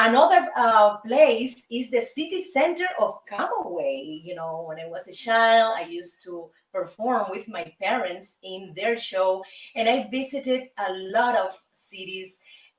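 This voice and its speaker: A woman with a Cuban accent, fairly slow in pace, with very wide pitch swings and big swings in loudness. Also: fairly high pitch for a woman. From Cuba, Havana. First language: Spanish. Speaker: singer and show host. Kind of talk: casual monologue show. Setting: recording studio. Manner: animated.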